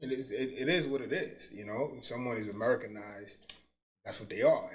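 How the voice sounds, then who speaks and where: This man's voice sits at a medium pitch and is somewhat breathy. He talks at a fairly quick pace, and room echo can be heard. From New York (Brooklyn), born in Guinea. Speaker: entrepreneur. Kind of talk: casual interview.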